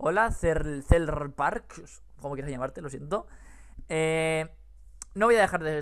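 An animated tone with big swings in loudness and ordinary pitch variation over a quiet background. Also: man. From Spain. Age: 20s. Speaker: YouTuber. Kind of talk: casual chat. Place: home room. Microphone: headset.

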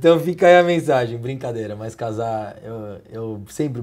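A man with lively intonation. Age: 30s. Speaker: TV talk show host. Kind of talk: interview. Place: office. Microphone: lapel.

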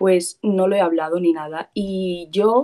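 Against a quiet background, a woman with a Spanish accent speaks in a dark, mellow tone. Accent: Peninsular Spanish. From Spain. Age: young. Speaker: caller seeking advice; caller. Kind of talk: casual chat. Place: home room. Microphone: video call.

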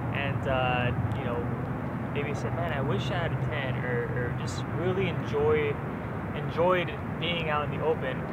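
Loud background noise surrounds a man speaking with ordinary pitch variation. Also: dry sound with no echo. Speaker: outdoor vlogger. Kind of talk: casual vlog chat.

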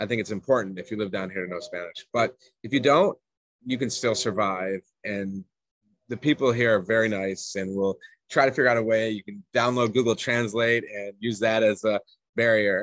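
Over a quiet background with dry sound and no echo, a man with an American accent talks at a moderate pace with fairly even intonation. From Atlanta, Georgia, US South; Georgia. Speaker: expat parent, remote worker; podcast guest. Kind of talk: casual interview chat. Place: home room. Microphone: video call.

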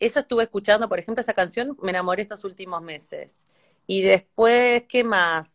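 Against a quiet background, a woman talks at a moderate pace in a fairly high pitch with ordinary pitch variation. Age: 30s. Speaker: singer; singer talking with a host. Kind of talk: casual chat. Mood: relaxed, reflective. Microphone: phone near.

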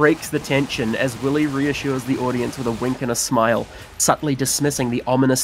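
In a natural reading voice, the speaker keeps a fairly even intonation.

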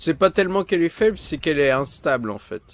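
A man's voice comes across dry, without any echo. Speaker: gaming streamer. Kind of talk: live gameplay commentary. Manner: animated.

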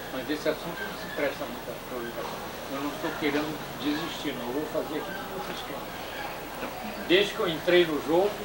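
Loud background noise sits behind a man's voice. He keeps a moderate pace with hardly any pauses. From Brazil. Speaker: filmmaker. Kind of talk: interview answer. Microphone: old recording.

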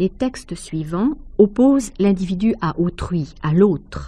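At a very slow pace, a woman at medium pitch sounds somewhat breathy, with a dark, mellow tone and lively intonation. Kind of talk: measured literary essay read aloud, scripted narration. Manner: formal, even, didactic.

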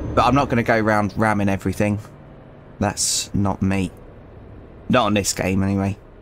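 With a British accent, a man speaks at a fairly quick pace in a fairly low pitch, keeping very even loudness and fairly even intonation while taking long, frequent pauses. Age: 30s. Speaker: gaming youtuber, former truck driver. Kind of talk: gameplay commentary. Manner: hesitant, many fillers.

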